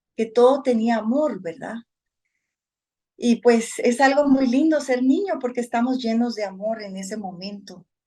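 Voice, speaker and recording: A woman with a Guatemalan accent, high pitch and a dark, mellow tone, ordinary pitch variation, big swings in loudness and a fairly slow pace. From Guatemala, Guatemala City and Suchitepéquez countryside. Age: 50s. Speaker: spiritual devotee sharing life story. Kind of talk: personal testimony.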